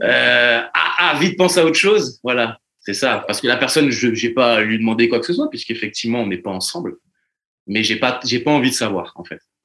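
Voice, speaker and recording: With an ordinary speaking voice, a man talks at a fairly quick pace and medium pitch. His intonation is lively. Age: 30s. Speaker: podcast guest. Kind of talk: casual chat.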